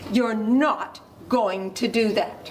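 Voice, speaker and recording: A woman growls in a put-on character voice pitched fairly high. Background noise is clearly audible. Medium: stage play.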